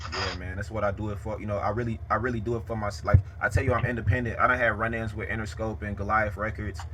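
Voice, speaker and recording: In a room with audible echo, a man talks at a very fast pace with hardly any pauses, fairly low in pitch with fairly even intonation. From Chicago south side. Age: 20s. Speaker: rapper and interviewer. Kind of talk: casual interview.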